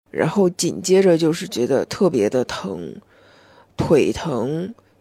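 A woman with vocal fry and a dark, mellow tone speaks very slowly, using very wide pitch swings. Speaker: podcast host. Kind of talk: casual solo monologue.

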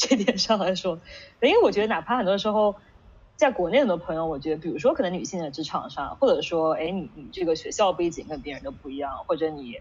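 Her pitch medium, a woman races along at a very fast pace with very wide pitch swings and big swings in loudness. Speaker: management consultant, interviewer. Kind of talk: casual interview conversation. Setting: online video call event.

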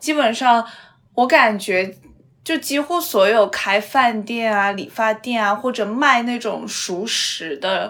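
Talking at a very slow pace, a woman uses a fairly high pitch, lively intonation and vocal fry. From Xi'an, China. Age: 20s. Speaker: podcast host. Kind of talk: casual chat.

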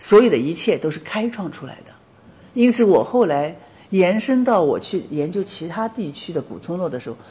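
A somewhat breathy woman's voice with a dark, mellow tone and lively intonation. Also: big swings in loudness. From Shanghai, China. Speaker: documentary filmmaker of ancient villages. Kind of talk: interview.

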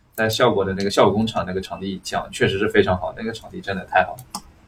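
A man talks at a very fast pace. Noticeable noise runs in the background. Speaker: stand-up comedian. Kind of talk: casual chat.

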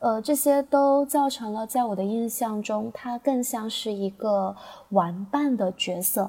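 With a fairly high pitch and a dark, mellow tone, a woman sounds somewhat breathy, talking at a fairly slow pace with ordinary pitch variation. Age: 20s. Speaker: teacher. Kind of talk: prepared personal reflection.

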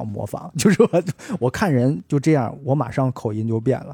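A man talks at a fairly quick pace with medium pitch and lively intonation, his voice somewhat breathy. His tone is dark and mellow, and the sound is dry and close with no echo. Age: middle-aged. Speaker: podcast host. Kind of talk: casual chat. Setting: at home.

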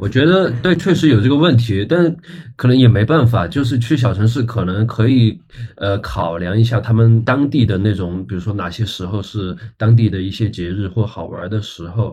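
A man with an unremarkable speaking voice and lively intonation. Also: medium pitch for a man, moderate pace. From small Chinese city. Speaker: rock band guitarist. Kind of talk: casual chat.

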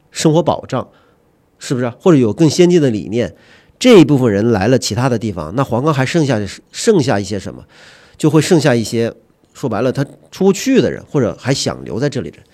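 In a very clean recording with a silent background, a man with a dark, mellow tone and vocal fry speaks at a medium pitch and fairly quick pace, his lively intonation broken by long, frequent pauses and big swings in loudness. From Huanggang, Hubei, China. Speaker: magazine editor. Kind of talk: casual discussion.

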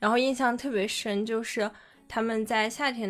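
Speaking at a fairly slow pace, a woman uses a normal speaking voice with a fairly high pitch. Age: young. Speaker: podcast co-host. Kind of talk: casual chat.

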